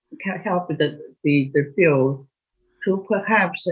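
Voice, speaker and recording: At a very slow pace, a woman speaks with a very deep, low pitch, lively intonation and a somewhat breathy quality. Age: 80s+. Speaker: molecular biology professor. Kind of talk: interview. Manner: halting.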